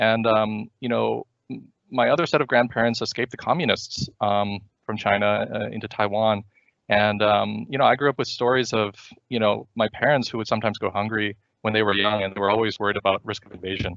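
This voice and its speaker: Fairly low in pitch, a man talks at a fairly quick pace in a plain, everyday voice with fairly even intonation. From US, moved around the country. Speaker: startup founder and CEO. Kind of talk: seminar presentation. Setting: virtual seminar. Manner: many fillers and restarts.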